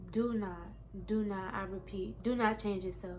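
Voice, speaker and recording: In a room with audible echo, a woman of medium pitch talks at a moderate pace in a monotone, flat intonation. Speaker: lifestyle vlogger. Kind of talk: casual monologue. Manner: stumbles on words.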